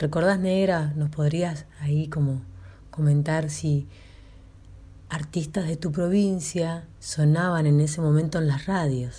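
With audible room echo, a woman speaks at a very slow pace in a very deep, low pitch. Her tone is dark, mellow and somewhat breathy, with fairly even intonation. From northern La Pampa, Argentina. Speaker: radio host. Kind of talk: interview.

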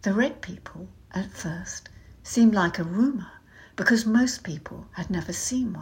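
Someone reads aloud. The voice sounds natural.

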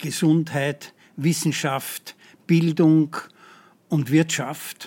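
A man with a fairly high pitch speaks very slowly in a very clean recording against a silent background. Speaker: psychiatry professor. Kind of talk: interview.

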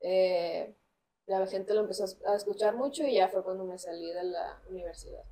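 This woman has a dark, mellow tone at medium pitch with ordinary pitch variation. She speaks at a moderate pace. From Mexico, Culiacán, Sinaloa. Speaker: singer-songwriter. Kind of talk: casual interview.

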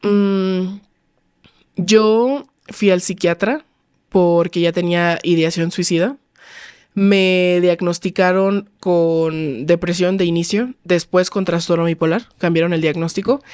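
Her pitch fairly low, a woman talks at a very slow pace. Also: ordinary pitch variation. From Mexico, Los Cabos. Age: 20s. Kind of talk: casual chat.

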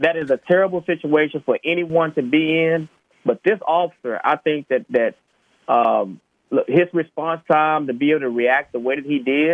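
With an American accent, this man has an unremarkable speaking voice, a fairly high pitch, ordinary pitch variation and a moderate pace. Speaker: police officer. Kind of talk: radio interview.

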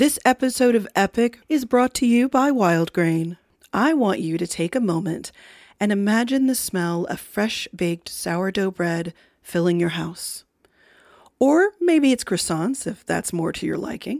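A woman speaks fairly slowly at medium pitch with lively intonation. The recording is very clean and dry, close with no echo and a silent background. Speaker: podcast host. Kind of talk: upbeat host intro and ad read. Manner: energetic, friendly, enthusiastic.

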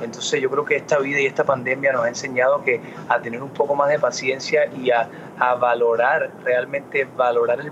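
Fairly quick, fairly even speech from a man with a fairly high pitch, over noticeable background noise. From Miami, US. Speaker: singer. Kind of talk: interview. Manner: halting, many fillers and repetitions.

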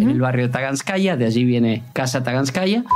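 A man's fairly high voice moves at a fairly quick pace amid noticeable background noise. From Argentina (Puan, Buenos Aires province). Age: 50s. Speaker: sports journalist. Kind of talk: interview.

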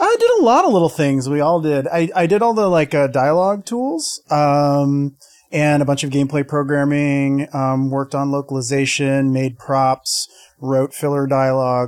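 A man with an ordinary speaking voice, fairly high pitched, at a moderate pace with ordinary pitch variation. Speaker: game developer. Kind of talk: casual chat.

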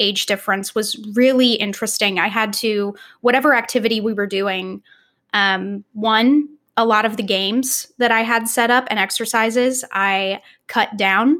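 A woman's unremarkable speaking voice in an American accent, fairly high in pitch with ordinary pitch variation, at a moderate pace on a very clean recording with a silent background. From Texas, Austin. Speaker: performing artist and teaching artist. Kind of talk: casual interview.

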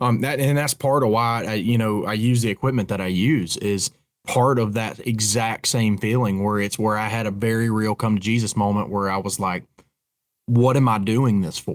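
In a Southern Appalachian accent, a man speaks at a moderate pace with a fairly low pitch and fairly even intonation, on a very clean recording with a silent background. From Appalachian North Carolina, near Boone. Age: 30s. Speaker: bowhunter. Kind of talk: casual chat.

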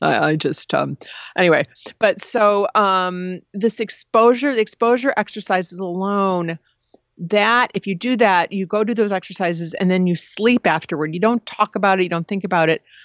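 This woman has a plain, everyday voice, medium in pitch. She keeps a moderate pace, and her pitch variation is ordinary. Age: 50s. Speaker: advice columnist and author. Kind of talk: interview.

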